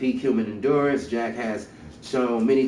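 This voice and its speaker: The room gives off an audible echo. A man's voice is heard in it. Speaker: gaming streamer. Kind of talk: reading aloud with commentary. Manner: halting, stumbling over words.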